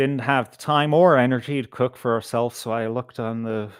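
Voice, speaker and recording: The voice carries an American accent with ordinary pitch variation. The sound is dry and close with no echo. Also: man. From Ireland, Galway with Belfast family. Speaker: live stream host. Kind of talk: casual chat. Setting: live stream. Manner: slow.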